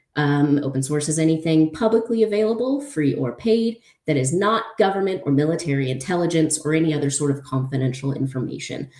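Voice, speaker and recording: This woman has a very deep, low pitch and lively intonation. She talks at a fairly quick pace. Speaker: open source investigator. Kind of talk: conference talk. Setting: conference presentation. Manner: fast; hesitant with many fillers.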